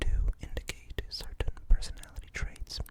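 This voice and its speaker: A whispered voice moving at a moderate pace. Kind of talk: ASMR roleplay, whispered personality test. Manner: whispered, soft-spoken.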